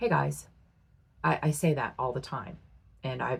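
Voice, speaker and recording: A woman with a very deep, low pitch, vocal fry, lively intonation, an animated tone and a moderate pace. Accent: American. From Ohio, US Midwest. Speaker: beauty YouTuber. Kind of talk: casual chat.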